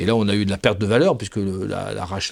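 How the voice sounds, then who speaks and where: A man talks at a very fast pace and a fairly low pitch. The recording is very clean, with a silent background. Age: 60s. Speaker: HR director. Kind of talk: podcast interview. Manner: halting, many repetitions and hesitations.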